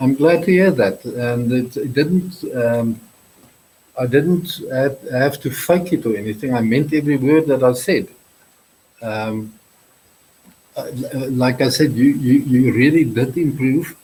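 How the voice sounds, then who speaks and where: A man with a medium pitch and a dark, mellow, somewhat breathy tone speaks fairly slowly, with ordinary pitch variation and long, frequent pauses. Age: 60s. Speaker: YouTuber guest. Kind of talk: casual chat. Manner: halting.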